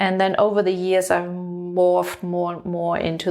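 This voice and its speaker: A woman with a German accent, fairly low in pitch, at a moderate pace, over background music. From Germany. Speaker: leadership coach and author. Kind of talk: interview. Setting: her home.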